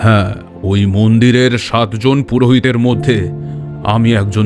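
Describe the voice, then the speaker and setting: Clear music plays in the background. Over it comes a put-on character voice at a fairly slow pace. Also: man. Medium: audio drama. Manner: grave, measured.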